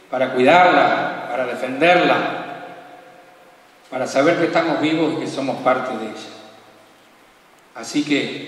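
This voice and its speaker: A man speaks at a fairly slow pace with ordinary pitch variation and long, frequent pauses. Audible room echo surrounds his voice. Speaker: program host. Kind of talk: solemn spoken introduction. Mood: calm, reverent, poetic.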